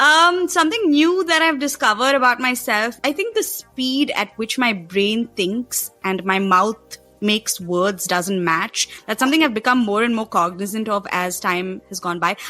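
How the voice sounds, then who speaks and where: A woman speaks at a moderate pace with hardly any pauses, her fairly high voice swinging very widely in pitch over background music. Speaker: podcast co-host. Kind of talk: casual chat.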